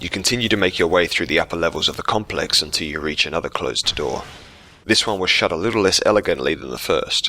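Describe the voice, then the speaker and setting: A man talks very fast while music plays behind him. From South Australia. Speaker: gaming video creator. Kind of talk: scripted narration.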